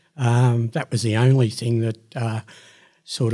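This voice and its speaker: A man's medium-pitched voice with an Australian accent, somewhat breathy and dark, mellow in tone, at a moderate pace on a very clean recording with a silent background. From Sydney, Australia. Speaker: retired electrical fitter and manager. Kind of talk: casual chat.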